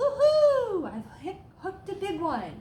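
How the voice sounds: A woman does a put-on character voice, sing-song and slow, with an extremely high pitch and very wide pitch swings. Her tone is dark and mellow, and the room echo is audible.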